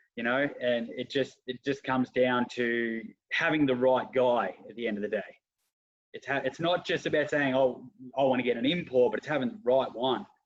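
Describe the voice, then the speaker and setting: A man with an Australian accent talks at a moderate pace, his medium pitch showing ordinary variation. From Australia (Geelong). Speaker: football club president and coach. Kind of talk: casual interview.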